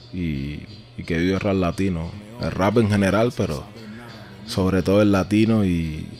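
A man with a Cuban accent, very deep, low pitch, ordinary pitch variation and long, frequent pauses. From Cuba, Havana. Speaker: rapper. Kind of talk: casual chat.

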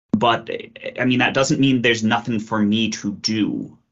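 A man with an Ontario accent speaks at a medium pitch. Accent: Canadian (Ontario). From Kitchener, Ontario. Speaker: engineering lecturer. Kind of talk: interview, casual. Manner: hesitant, repetitive fillers.

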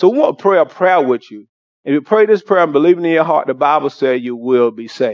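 A man with an ordinary speaking voice, fairly high-pitched with lively intonation at a fairly quick pace. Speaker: pastor. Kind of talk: altar call prayer. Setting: church.

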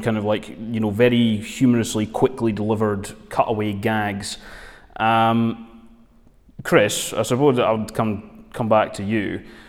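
Speaking with a Dundee accent, a man talks at a fairly slow pace in a medium pitch with monotone, flat intonation. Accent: Scottish (Dundee). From Scotland, Dundee. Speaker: magazine editor and podcast host. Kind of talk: casual film review discussion.

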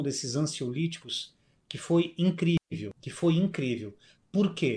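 A man with a high pitch and lively intonation, at a very slow pace. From southern Brazil (Rio Grande do Sul, near Uruguay). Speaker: musician and speaker. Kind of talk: interview storytelling. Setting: video call.

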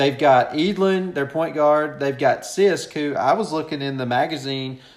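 A man with a Kentucky accent, fairly high in pitch, with ordinary pitch variation and a fairly slow pace. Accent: Kentucky Southern American.

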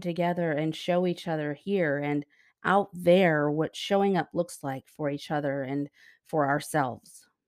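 On a very clean recording with a silent background, a woman speaks at a moderate pace in a plain, everyday voice with ordinary pitch variation. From US, moved around; born Texas Panhandle. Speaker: podcast host. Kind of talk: scripted monologue. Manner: warm, gentle.

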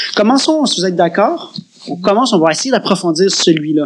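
Speaking at a moderate pace with a Quebec accent, a man talks over noticeable background noise. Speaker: podcast co-host, workshop leader. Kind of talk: casual chat.

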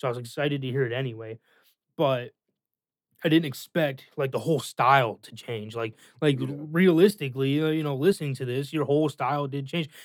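A man with an ordinary speaking voice, fairly high pitch for a man, ordinary pitch variation and a fairly quick pace. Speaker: guest, friend giving album feedback. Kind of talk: casual chat. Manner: casual, laid-back.

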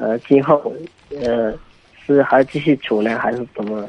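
A man speaking at a moderate pace. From Yunnan, China. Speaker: caller. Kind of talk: phone call-in advice. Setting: phone call. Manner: halting.

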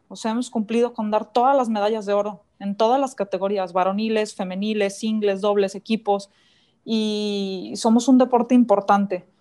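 In a fairly high pitch with a dark, mellow tone, a woman speaks at a moderate pace with fairly even intonation over a quiet background. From Mexico, Guanajuato. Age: 30s. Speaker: professional racquetball player. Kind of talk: interview.

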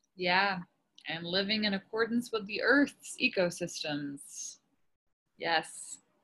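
Speaking at a very slow pace with long, frequent pauses, a woman has a medium-pitched voice and a bright, sharp tone. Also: ordinary pitch variation. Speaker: podcast host and folk singer-songwriter. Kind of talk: interview.

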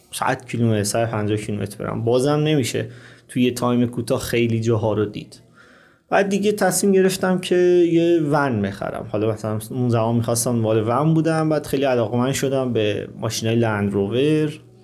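A man talks fairly quickly at a medium pitch, his intonation lively. Audible room echo surrounds his voice. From Iran, Qazvin. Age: 30s. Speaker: motorcycle traveler. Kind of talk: interview.

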